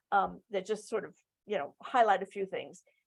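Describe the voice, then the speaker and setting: Her pace is fairly quick as the woman talks. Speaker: global health program expert. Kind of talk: webinar presentation. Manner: fast.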